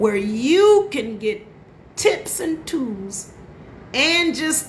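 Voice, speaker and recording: With an animated tone, a woman speaks in a high pitch amid audible room echo. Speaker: life coach. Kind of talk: motivational live stream talk. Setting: Facebook live audio. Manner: occasional stutter or slips.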